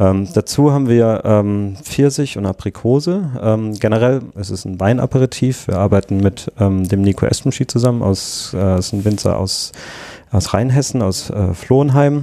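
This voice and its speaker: A man's fairly low voice moves at a moderate pace, its pitch varying in an ordinary way. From southwestern Germany. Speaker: drinks startup founder and designer. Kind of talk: casual interview. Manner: hesitant, many fillers.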